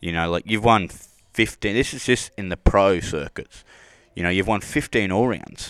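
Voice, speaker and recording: Speaking with an Australian accent, a man uses a fairly low voice, ordinary pitch variation and big swings in loudness at a moderate pace on a very clean recording with a silent background. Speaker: podcast host. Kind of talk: casual interview. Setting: at a rodeo event.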